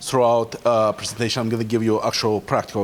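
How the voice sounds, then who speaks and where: In a Russian accent, a man at medium pitch speaks over noticeable background noise. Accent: Russian-speaker. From Ukraine. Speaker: cybersecurity professional. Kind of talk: conference talk. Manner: halting, many fillers.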